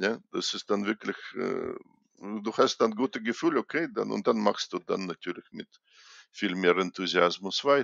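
A man talks with a Russian accent. He keeps a fairly slow pace. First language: Russian (speaking German). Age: 60s. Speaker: chess grandmaster and coach. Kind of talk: interview. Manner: halting.

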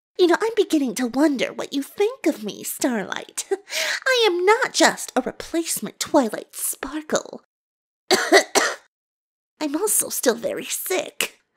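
A put-on character voice, female-sounding, sits at an extremely high pitch with very wide pitch swings. Long, frequent pauses break up the speech. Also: moderate pace. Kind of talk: comic dub.

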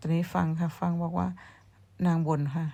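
A woman speaks in a somewhat breathy voice with a dark, mellow tone and fairly even intonation. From Thailand, Surin province. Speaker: vlogger. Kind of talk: casual vlog chat. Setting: outdoors behind the house.

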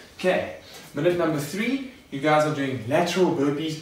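Male speech at a middling speed, with audible room echo and clearly present background noise. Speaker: fitness coach. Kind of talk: tutorial. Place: garage.

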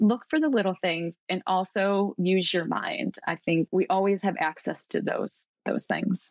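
A woman speaks in a plain, everyday voice at a medium pitch and moderate pace. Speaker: coach with psychology background. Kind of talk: casual interview chat.

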